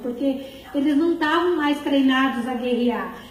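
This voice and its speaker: Amid noticeable background noise and audible room echo, a woman speaks at a high pitch and a moderate pace with ordinary pitch variation. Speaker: preacher. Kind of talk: sermon.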